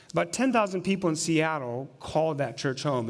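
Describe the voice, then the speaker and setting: Audible room echo surrounds a man whose fairly high voice swings very widely in pitch. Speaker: pastor. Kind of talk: sermon. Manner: fast.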